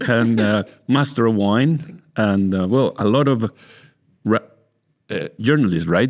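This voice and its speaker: Against a quiet background, a man speaks at a medium pitch. He goes at a fairly slow pace with long, frequent pauses. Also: lively intonation. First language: Spanish. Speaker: winemaker and podcast host. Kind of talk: casual interview. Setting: in person. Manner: halting.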